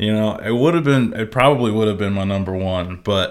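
The man has an ordinary speaking voice, fairly low in pitch, with ordinary pitch variation. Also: very clean recording, silent background. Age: 20s. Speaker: video game podcast co-host. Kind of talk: casual chat.

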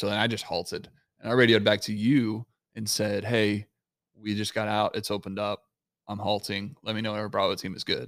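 Recorded very cleanly against a silent background, a man with an American accent speaks at a fairly quick pace in a fairly low, monotone, flat voice. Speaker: podcast co-host. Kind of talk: casual chat. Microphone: new microphone.

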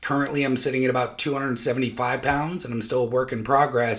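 Noticeable background noise sits behind a man speaking at a moderate pace, medium pitch and fairly even intonation. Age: 30s. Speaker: podcast host, father sharing mental health journey. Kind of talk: personal monologue. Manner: casual, hesitant with many fillers.

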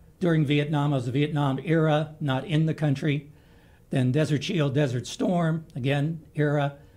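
This man's voice has a dark, mellow tone and is somewhat breathy, pitched fairly high, with an American accent, fairly even intonation and a moderate pace. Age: 70s. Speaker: army veteran and nurse. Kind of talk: radio interview. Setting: radio studio.

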